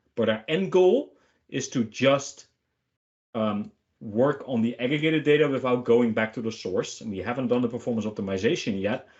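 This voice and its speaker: A man speaks with a Dutch accent at a moderate pace. His pitch is medium, with ordinary variation. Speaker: software product manager. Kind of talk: webinar Q&A answer.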